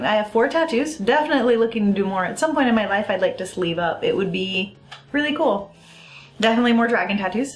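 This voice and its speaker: A woman with a slight non-native accent talks at a very fast pace in an animated tone with lively intonation, and there is audible room echo. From US. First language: Italian. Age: 30s. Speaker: vlogger. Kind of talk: casual vlog talk.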